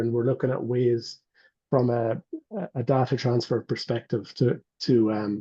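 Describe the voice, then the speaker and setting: Somewhat breathy, a man with an Irish accent talks at a medium pitch with fairly even intonation. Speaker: medical device company representative. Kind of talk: webinar Q&A panel.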